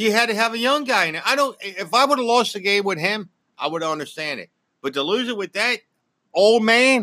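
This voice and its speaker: With a bright, sharp tone, a man raises and projects his high voice, moving at a fairly quick pace with lively intonation over a very clean recording and a silent background. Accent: American. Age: 50s. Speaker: host's father, sports fan. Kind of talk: casual sports debate. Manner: animated.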